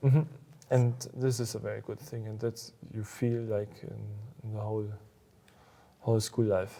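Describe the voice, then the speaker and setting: A man with a German accent speaks at a moderate pace and medium pitch, his tone dark, mellow and somewhat breathy. His intonation stays fairly even while his loudness swings widely, broken by long, frequent pauses. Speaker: school alumnus and business owner. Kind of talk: interview. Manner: halting.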